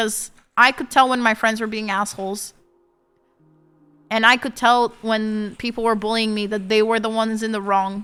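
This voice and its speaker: A woman with a Portuguese accent at a fairly high pitch and moderate pace, monotone and flat in intonation, with long, frequent pauses and music in the background. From Portugal. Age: 30s. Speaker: streamer. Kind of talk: casual chat.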